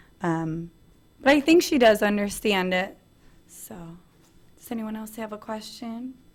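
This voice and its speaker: A woman's somewhat breathy voice with lively intonation, big swings in loudness and long, frequent pauses, in a very clean recording over a silent background. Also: fairly high pitch for a woman, fairly slow pace. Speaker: conference presenter and video blogger. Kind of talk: presentation with Q&A.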